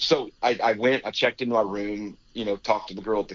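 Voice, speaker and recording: A man with a Texan accent, medium pitch and a fairly quick pace. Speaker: rodeo announcer. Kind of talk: interview answer, storytelling. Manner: casual, halting.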